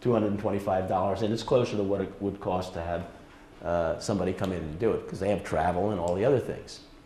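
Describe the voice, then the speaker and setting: At a very fast pace, a man with a fairly low, dark, mellow voice speaks somewhat breathily with fairly even intonation, and audible room echo is present. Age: 70s. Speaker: retired presenter and wildlife volunteer. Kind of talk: presentation. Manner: halting.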